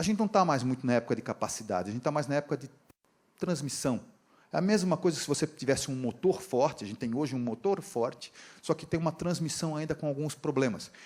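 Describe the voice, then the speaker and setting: With lively intonation, a man speaks very fast in a fairly high voice. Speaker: engineering professor and industry training director. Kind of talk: conference lecture. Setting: stage with audience, live interpreter. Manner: casual, conversational.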